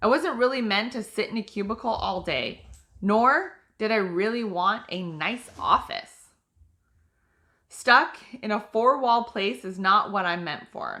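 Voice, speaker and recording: Loud and bright, with a sharp tone, a woman in a General American accent speaks fairly slowly at a fairly high pitch with ordinary pitch variation. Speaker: author. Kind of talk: reading aloud.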